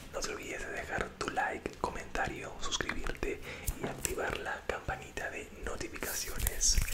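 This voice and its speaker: A man's moderately paced speech competes with loud background noise. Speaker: youtuber. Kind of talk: casual vlog outro. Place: home room. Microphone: studio mic.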